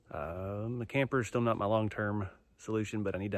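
Against a quiet background, a man speaks in a fairly low voice, the sound dry with no echo. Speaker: vlogger. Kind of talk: casual vlog chat. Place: forest. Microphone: phone near.

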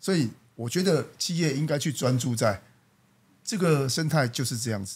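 A man with a fairly high pitch speaks in a somewhat breathy voice with lively intonation. The recording is very clean, with a silent background. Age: 40s. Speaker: company general manager. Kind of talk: interview.

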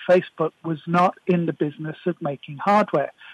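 A man speaks at a moderate pace in a dry, close recording with no echo. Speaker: technology commentator. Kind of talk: casual chat.

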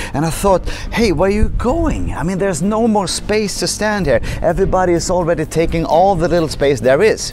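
The sound is dry with no echo, and there is light background noise. A man speaks at a fairly quick pace. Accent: Swedish. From Sweden. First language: Swedish. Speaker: motivational speaker. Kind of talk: vlog monologue. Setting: hotel on the Swedish west coast. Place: street. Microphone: lapel.

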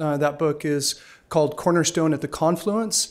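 A fairly quick pace from a man. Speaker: event host introducing a speaker. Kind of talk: speaker introduction. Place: hall. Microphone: podium.

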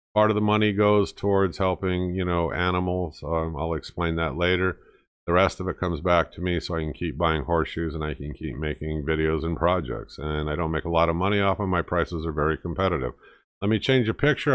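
A man's very deep, low voice at a fairly quick pace, with ordinary pitch variation over a quiet background. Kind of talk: casual vlog chat. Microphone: webcam.

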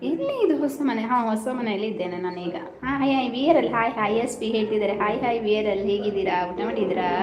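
Audible room echo and noticeable background noise fill the recording. In it, a woman talks at a fairly high pitch. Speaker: live-stream host. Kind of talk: casual live-stream chat with viewers. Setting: house-warming function at home.

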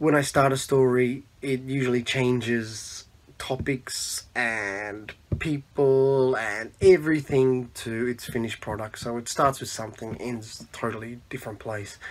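A man with an Australian accent speaks at a fairly slow pace with fairly even intonation but big swings in loudness. Light background noise is present. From Australia, Melbourne. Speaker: zine maker; podcast interviewee. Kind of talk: self-introduction monologue. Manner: halting, many fillers. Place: home room. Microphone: phone near.

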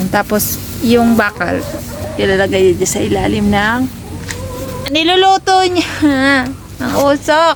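A woman's voice with noticeable background noise. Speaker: farm vlogger. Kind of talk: casual vlog talk to camera.

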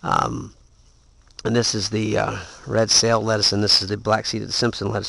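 At a moderate pace and fairly low pitch, a man speaks in a monotone, flat intonation with long, frequent pauses and a dry sound with no echo. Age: 40s. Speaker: home gardener vlogger. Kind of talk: casual video tutorial; casual vlog chat. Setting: garage. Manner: hesitant, many fillers. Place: garden. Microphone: phone near.

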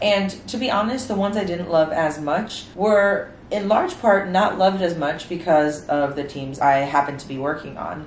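A woman's fairly low voice in an American accent, with lively intonation, big swings in loudness, a moderate pace and noticeable background noise. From New York City (Spanish Harlem). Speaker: medical student. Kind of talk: casual talk to camera.

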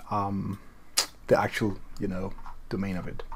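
A man speaks with a non-native accent over light background noise. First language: not English. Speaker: tutorial video creator. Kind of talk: tutorial walkthrough. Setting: screen recording voiceover. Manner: casual, hesitant with fillers. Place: home room.

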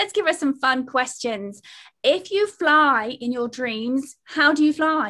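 A woman with a British accent uses a raised, projected voice, high in pitch and bright and sharp in tone, with lively intonation at a very slow pace over a quiet background. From United Kingdom. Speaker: meditation instructor. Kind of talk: interview show host questions. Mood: playful, cheerful. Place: home room. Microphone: video call.

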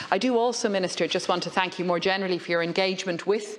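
A woman talks at a very fast pace, her intonation staying fairly even. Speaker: legislator in debate. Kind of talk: parliamentary speech. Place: hall. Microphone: podium.

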